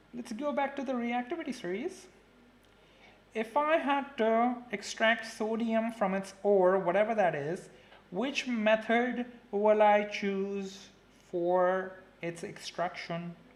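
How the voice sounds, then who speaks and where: A man speaks very slowly with a high pitch and lively intonation over noticeable background noise. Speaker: chemistry teacher. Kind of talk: live online lesson. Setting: live stream. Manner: casual, chatty.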